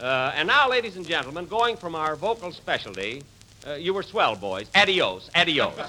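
Putting on a character voice, a man speaks at a moderate pace in a bright, sharp tone, his fairly high pitch making big swings.

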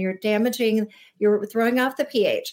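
A woman talks at a moderate pace and a high pitch. The recording is very clean, with a silent background. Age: 40s. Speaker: naturopathic doctor and skincare expert. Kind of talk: interview.

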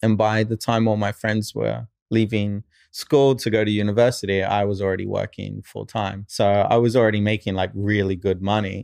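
Speaking with an Australian accent, a man talks at a fairly quick pace in a fairly low pitch with monotone, flat intonation. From Australia (born in New Zealand, moved at 11). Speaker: film director. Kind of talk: casual chat. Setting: studio.

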